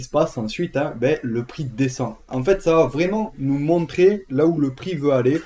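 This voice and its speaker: A man's fairly high voice with a southern French accent, very slow pace and ordinary pitch variation. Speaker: trading educator. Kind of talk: tutorial. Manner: casual, with many fillers.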